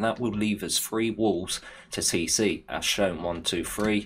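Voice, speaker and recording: With an English Midlands accent, a man speaks at a very deep, low pitch. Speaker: video game youtuber. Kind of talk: gameplay tutorial. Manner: casual.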